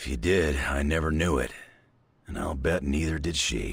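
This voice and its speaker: In a put-on character voice, a man growls out a raspy, very deep, low pitch at a moderate pace. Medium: video game.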